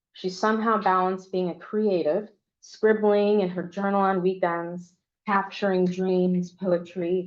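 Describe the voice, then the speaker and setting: At a moderate pace, a woman talks in a normal speaking voice with medium pitch and fairly even intonation. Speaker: memoir author. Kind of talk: reading aloud.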